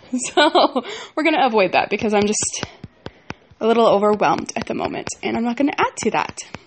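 Through noticeable background noise, a woman talks at a fairly quick pace, her fairly high pitch swinging very widely. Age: 20s. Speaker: podcaster. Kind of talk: personal monologue. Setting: at home. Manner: halting.

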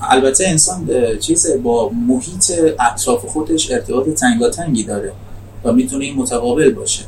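A man of medium pitch talks with lively intonation at a moderate pace, noticeable background noise around him. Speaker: podcast host. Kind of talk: interview. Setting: outdoors. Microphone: poor sound quality.

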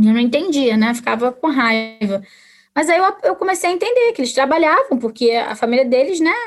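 Speaking at a fairly quick pace, a woman uses a high pitch with very wide swings up and down. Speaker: historian and teacher. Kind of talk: casual interview conversation.

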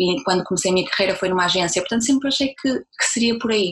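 A woman's medium-pitched voice at a very fast pace, over noticeable background noise. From northern Portugal, Braga. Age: 20s. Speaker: entrepreneur, communications professional. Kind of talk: interview.

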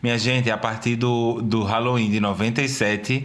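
A man's voice over noticeable background noise. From Brazil, Pernambuco (Recife area). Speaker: podcast co-host. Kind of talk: casual chat.

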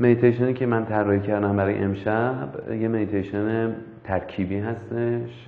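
With noticeable background noise and audible room echo, a man speaks at a moderate pace in a fairly low voice. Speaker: meditation instructor. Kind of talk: guided meditation. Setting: live stream. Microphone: far from the mic.

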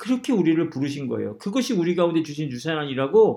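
A man's speech races along very fast, his intonation lively. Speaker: pastor. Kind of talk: sermon. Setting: church.

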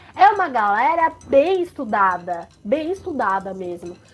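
Her high voice moves at a fairly slow pace. This woman's pitch swings very widely. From Brazil, Sorocaba (São Paulo state). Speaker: podcast co-host. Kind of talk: casual chat.

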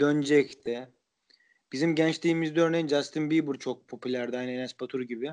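Talking at a fairly quick pace, a man uses a fairly high pitch and fairly even intonation. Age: 20s. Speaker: podcast host. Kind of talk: casual chat.

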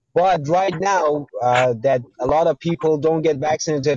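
A somewhat breathy man with an American accent speaks at a fairly high pitch. His pace is moderate and his pitch variation ordinary. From Iran. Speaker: caller. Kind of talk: debate. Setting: call-in to livestream. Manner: halting.

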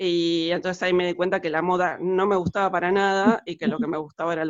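In a monotone, flat delivery, a woman speaks with a fairly low pitch. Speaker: costume designer. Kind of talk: interview. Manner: halting, many fillers.

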